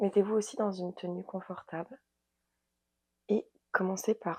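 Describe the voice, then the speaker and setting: Heard in a dry, close sound with no echo, a woman speaks at a fairly slow pace with a medium pitch and a dark, mellow tone. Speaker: yoga and wellness coach. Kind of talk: guided yoga session.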